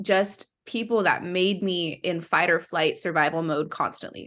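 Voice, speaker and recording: A woman speaks at a moderate pace with fairly even intonation and a medium pitch, in a plain, everyday voice over a quiet background. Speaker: singer-songwriter. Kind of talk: casual interview chat.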